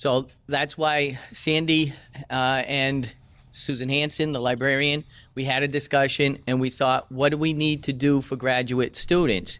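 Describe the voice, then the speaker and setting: The recording is very clean with a silent background. A man speaks fairly slowly in a monotone, flat intonation. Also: fairly high pitch for a man. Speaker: English professor. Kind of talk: orientation presentation.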